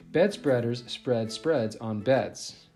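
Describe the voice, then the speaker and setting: A man speaks very slowly at a medium pitch, with ordinary pitch variation. Music plays in the background. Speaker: teacher. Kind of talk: children's book read-aloud.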